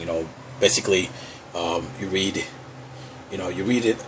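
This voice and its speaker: Background noise can be clearly heard. The man's pace is moderate. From Puerto Rico. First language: Spanish. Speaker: vlogger. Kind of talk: casual vlog show-and-tell. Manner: halting, many fillers. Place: home room. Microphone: phone near.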